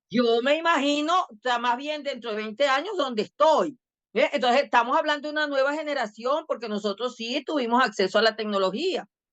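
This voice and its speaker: Barely pausing, a woman speaks at a high pitch with lively intonation. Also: fairly quick pace. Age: 60s. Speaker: educational technology expert. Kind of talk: podcast interview. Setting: video podcast.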